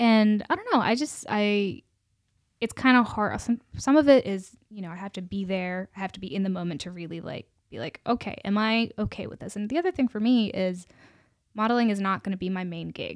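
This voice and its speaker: A woman with an American accent, a plain, everyday voice, fairly quick delivery, ordinary pitch variation and big swings in loudness, on a very clean recording with a silent background. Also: medium pitch for a woman. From US, Virginia (Charlottesville), South Indian family. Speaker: model and nursing student. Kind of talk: casual interview.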